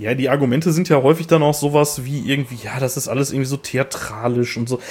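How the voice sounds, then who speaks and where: A man's somewhat breathy, mid-pitched voice moves fairly quickly, with ordinary rise and fall in pitch. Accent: strong Ruhr. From Ruhr area, Germany. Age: 30s. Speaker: metal podcast co-host. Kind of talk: casual chat. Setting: remote recording over headphones.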